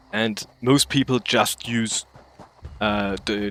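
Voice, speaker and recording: Music plays behind a man with a German accent and medium pitch. He talks at a very slow pace, and the sound is dry and close with no echo. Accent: German accent, self-described as awful. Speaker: game streamer. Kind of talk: gaming livestream commentary. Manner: halting, searching for words.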